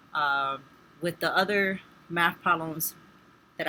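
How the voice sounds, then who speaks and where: A woman speaks with a bright, sharp tone. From Spanish-speaking background. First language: Spanish. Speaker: nursing student. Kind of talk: tutorial. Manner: casual, with fillers.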